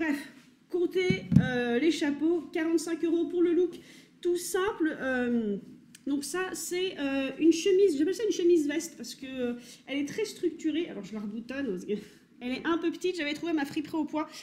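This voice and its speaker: Lively in intonation, a woman's high-pitched voice has a dark, mellow tone and a moderate pace. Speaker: vintage fashion YouTuber. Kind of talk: casual unboxing vlog. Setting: home kitchen.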